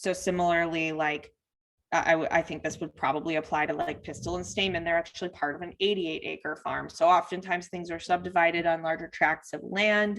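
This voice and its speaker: Speaking at a fairly quick pace, a woman uses a fairly low pitch and a monotone, flat intonation. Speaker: workshop presenter for farmers. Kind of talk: online training presentation. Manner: fast.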